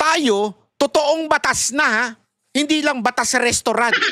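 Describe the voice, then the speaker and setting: A man's raised, projected voice, extremely high in pitch and animated in tone, in a dry, close sound with no echo. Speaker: political commentator. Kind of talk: political commentary vlog.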